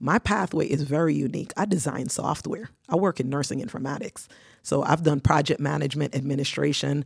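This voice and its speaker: A woman with a very deep, low pitch and vocal fry talks at a fairly quick pace with lively intonation. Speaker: nurse and nonprofit founder. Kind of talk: studio interview. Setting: studio.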